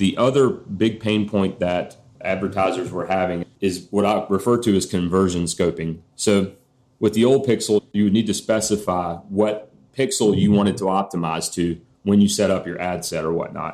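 This man has an unremarkable speaking voice with a fairly low pitch. His intonation is fairly even, and his pace is moderate. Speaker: marketing expert. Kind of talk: interview.

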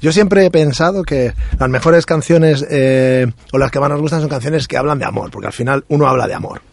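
Noticeable background noise behind a man's fairly quick speech, his pitch fairly high and its variation ordinary. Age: 40s. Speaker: musician with a regular music segment. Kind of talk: casual chat. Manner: halting, with many repetitions.

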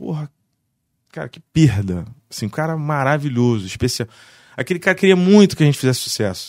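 A man speaks fairly quickly at a fairly high pitch, with very wide pitch swings and big swings in loudness. Long, frequent pauses break up his speech on a very clean recording with a silent background. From Barra do Piraí, Rio de Janeiro state, Brazil. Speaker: musician and music producer. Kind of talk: casual chat.

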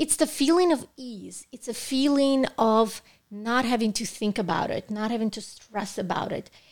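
With a fairly high voice, a woman talks at a moderate pace, her loudness swinging a lot while her pitch varies in an ordinary way. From Russia. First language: Russian. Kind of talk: casual interview chat.

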